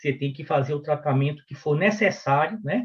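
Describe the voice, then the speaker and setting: This man has an unremarkable speaking voice, pitched fairly high, with lively intonation. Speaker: physician and medical professor. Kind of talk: lecture.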